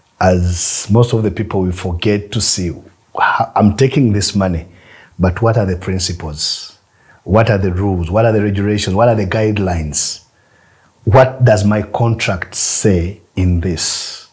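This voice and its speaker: A man with a fairly low pitch speaks at a fairly slow pace, somewhat breathy and with ordinary pitch variation. The background is quiet. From Uganda. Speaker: film producer and distributor. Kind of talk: masterclass talk. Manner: repetitive, halting. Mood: advising, sometimes laughing. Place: studio.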